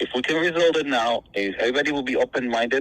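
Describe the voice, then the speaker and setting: A man with a non-native accent speaks at medium pitch in a bright, sharp tone. He goes at a very fast pace with ordinary pitch variation. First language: not English. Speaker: property owner in a dispute. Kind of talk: phone call negotiation. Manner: halting, many repetitions.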